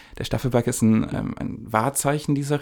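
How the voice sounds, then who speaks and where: Fairly quick in pace, a man speaks at a medium pitch with a dark, mellow tone. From Upper Franconia, Germany. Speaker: podcast co-host, screenwriting. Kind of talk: casual conversation.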